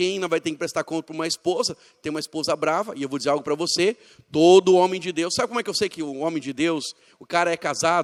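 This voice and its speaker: Very fast and animated, a man speaks in a high voice recorded dry and close with no echo. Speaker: pastor. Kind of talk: church training seminar talk.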